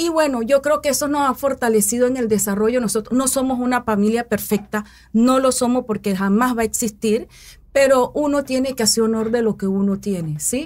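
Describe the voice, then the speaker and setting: Talking at a fairly quick pace, a woman speaks with a high pitch. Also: ordinary pitch variation. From Panama, Coclé province; Panama. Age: 40s. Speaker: mayoral candidate and educator; candidate, educator. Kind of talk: interview. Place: studio. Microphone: studio mic.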